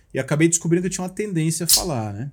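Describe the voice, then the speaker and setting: A man with lively intonation, music in the background. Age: 40s. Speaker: motivational speaker. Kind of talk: casual chat.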